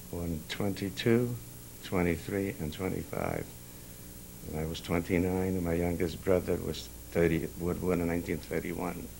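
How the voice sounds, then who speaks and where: Pausing long and often at a moderate pace, a man talks in a very deep, low voice with audible room echo. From Carpathian Ruthenia, near Chust. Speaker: Holocaust survivor. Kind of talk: oral history interview. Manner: halting, many hesitations.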